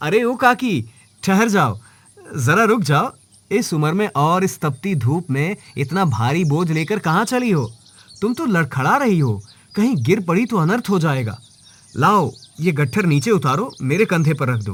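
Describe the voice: A man's put-on character voice, fairly high in pitch, with big pitch swings, a fairly bright tone, a slightly husky edge and a fairly slow pace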